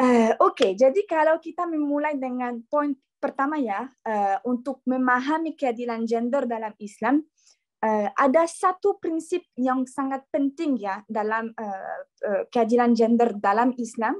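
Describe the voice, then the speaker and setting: A woman's high-pitched, lively voice at a fairly slow pace, dry and close with no echo. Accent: non-native. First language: not Indonesian (speaking Indonesian). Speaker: workshop speaker. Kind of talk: lecture. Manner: halting, many fillers and restarts; informal, relaxed.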